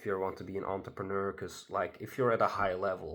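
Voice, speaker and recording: The speaker, a man, talks with a non-native accent. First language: not English. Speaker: solo vlogger. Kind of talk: casual monologue to camera. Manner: halting, many fillers. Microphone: not using his good microphone.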